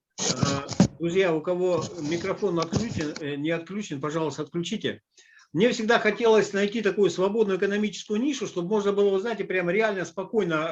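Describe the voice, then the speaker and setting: A man speaks at a high pitch and a fairly quick pace. The background is quiet. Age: 60s. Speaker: business presenter. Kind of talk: online presentation. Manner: hesitant, many filler sounds.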